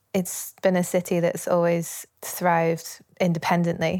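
On a very clean recording with a silent background, a woman with a fairly low pitch speaks at a fairly slow pace in a monotone, flat intonation. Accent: Yorkshire. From northern England, Leeds, Yorkshire. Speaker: musician. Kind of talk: interview.

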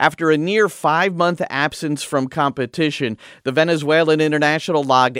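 At a moderate pace, a man uses a normal speaking voice, fairly high-pitched with ordinary pitch variation, on a very clean recording with a silent background and a dry, close sound with no echo. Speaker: radio host. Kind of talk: radio show hosting and interview.

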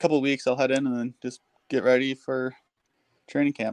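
A man at a medium pitch with an American accent, moderate pace and fairly even intonation, the sound dry and close with no echo. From Minnesota. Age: 20s. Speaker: professional hockey player. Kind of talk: interview.

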